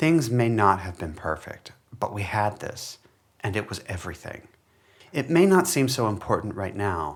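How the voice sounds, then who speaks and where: In an ordinary speaking voice, a man talks at a moderate pace with a fairly low pitch. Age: 40s. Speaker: folklore scholar. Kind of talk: reading aloud.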